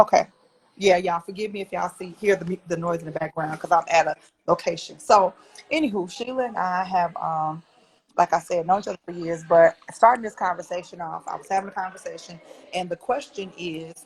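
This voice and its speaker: A somewhat breathy woman speaks at a fairly quick pace. Her loudness swings widely, with ordinary pitch variation. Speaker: trauma recovery coach and live show host. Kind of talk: casual live-stream chat. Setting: live video stream at an outside location. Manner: talking low; animated.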